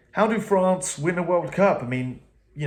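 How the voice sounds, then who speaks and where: A man talks with an English accent. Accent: English accent when speaking. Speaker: rugby commentator. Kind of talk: casual post-match reaction monologue. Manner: hesitant, many fillers and repeats.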